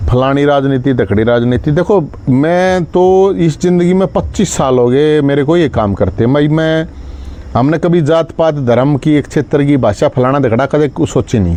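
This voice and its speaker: The speaker, in a Haryanvi accent, uses lively intonation at a very even loudness. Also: man, fairly high pitch for a man. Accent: Haryanvi-accented Hindi. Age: 40s. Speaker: social activist. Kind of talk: live stream address to followers.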